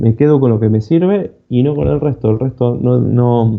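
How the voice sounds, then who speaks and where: A man speaks with an Argentine accent. His pitch is medium, with ordinary variation. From Argentina. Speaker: cybersecurity speaker. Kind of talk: conference talk. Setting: online conference. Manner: fast.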